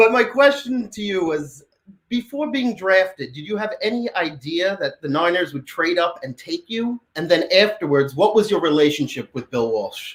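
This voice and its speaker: In a New York accent, a man speaks at a moderate pace with a high pitch, very wide pitch swings and big swings in loudness. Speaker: fan. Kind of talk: casual chat. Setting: video call.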